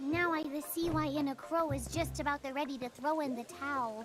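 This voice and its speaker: A put-on character voice, female-sounding and high-pitched for a woman, at a fairly quick pace against clear background noise. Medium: video game. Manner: odd verbal tic inserting "the".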